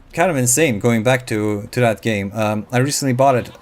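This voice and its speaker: Speaking at a moderate pace, a man uses a medium-pitched voice with a relaxed tone and ordinary pitch variation. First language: not English (English is third language). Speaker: gaming YouTuber. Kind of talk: casual gameplay commentary. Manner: halting, many fillers.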